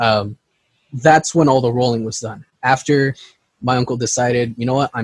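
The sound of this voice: With a quiet background, this is an unforced reading voice with fairly even intonation.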